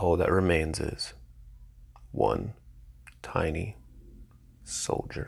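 A man speaks in a shaky voice at a very slow pace. His speech has long, frequent pauses. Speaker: podcast host reading own poetry. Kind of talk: poetry reading; casual intro. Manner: voice may quiver with emotion.

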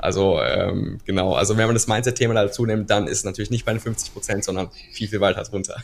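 Noticeable background noise is present throughout. Over it, a man speaks very fast. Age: 20s. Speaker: business coach and video creator. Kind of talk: podcast interview. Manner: hesitant, many filler sounds.

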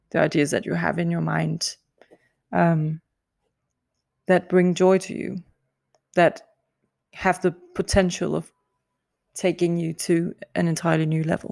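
Recorded very cleanly against a silent background, a woman speaks at a fairly slow pace with long, frequent pauses, the sound dry and close with no echo. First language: not English. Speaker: podcast host, singer. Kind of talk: solo podcast monologue. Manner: hesitant, many fillers and laughs.

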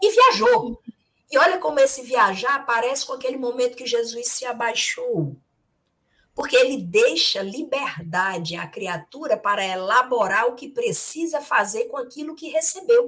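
This woman has a bright, sharp tone and a high pitch with very wide swings. Her loudness rises and falls greatly at a moderate pace. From Ceará, Brazil. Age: 50s. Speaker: spiritist speaker. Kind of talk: religious study discussion. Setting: live-streamed video study.

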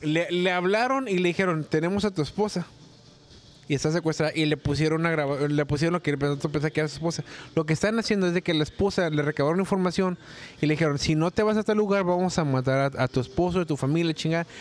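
A man talks at a very fast pace with a fairly high pitch. His loudness stays very even and his pitch varies in an ordinary way. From Tijuana, Mexico. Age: 40s. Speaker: former call center worker. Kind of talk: casual chat.

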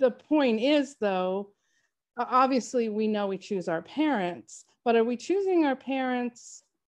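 An unremarkable speaking voice from a woman, fairly high in pitch, at a moderate pace against a quiet background. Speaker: author and co-host. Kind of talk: casual chat.

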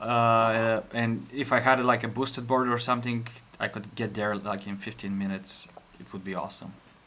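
A man with a Bulgarian accent speaks with big swings in loudness. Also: medium pitch for a man, moderate pace. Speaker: podcast host, engineer, expat. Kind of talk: casual chat.

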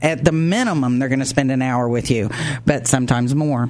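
A woman with a very deep, low pitch speaks at a fairly quick pace in an animated, upbeat tone with ordinary pitch variation, over noticeable background noise. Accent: American. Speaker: radio host. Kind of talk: radio interview. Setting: studio.

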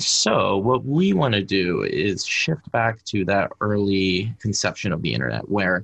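A man with an American accent speaks in an unremarkable speaking voice, pitched fairly low. His pitch varies an ordinary amount, and the background is quiet. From US, Pittsburgh. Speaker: developer evangelist. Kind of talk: interview.

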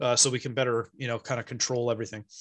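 A man speaks with a West Coast American accent. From California, San Francisco Bay Area. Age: 40s. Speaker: 3D printing business owner. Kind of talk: casual chat. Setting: live-streamed podcast.

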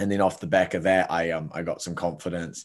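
With a New Zealand accent, a man speaks in a very deep, low pitch and fairly even intonation, recorded very cleanly against a silent background. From New Zealand, Palmerston North. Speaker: entrepreneur. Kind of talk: casual interview.

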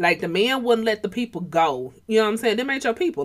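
An animated, energetic tone with lively intonation in an Atlanta accent. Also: woman. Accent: Southern US, Atlanta urban. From Atlanta, US South. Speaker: podcast host, believer. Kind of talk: casual chat, motivational faith talk. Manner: animated, casual, energetic.

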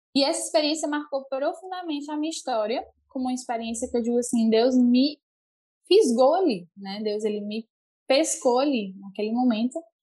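Lively in intonation, a woman speaks in a high pitch at a moderate pace. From Brazil, Fortaleza (Ceará). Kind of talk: casual chat, faith testimony.

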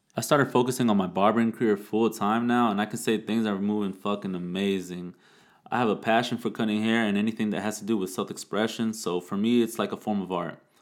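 Music plays behind a man with an American accent. His fairly low voice runs very fast in a flat monotone. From Plant City, Florida. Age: 20s. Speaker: podcast host, barber. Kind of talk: casual monologue.

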